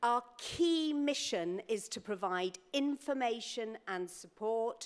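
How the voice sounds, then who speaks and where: In a British accent, a woman speaks at a very slow pace. Her pitch is fairly high and her intonation lively. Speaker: charity chief executive. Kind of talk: conference speech. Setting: conference stage with audience.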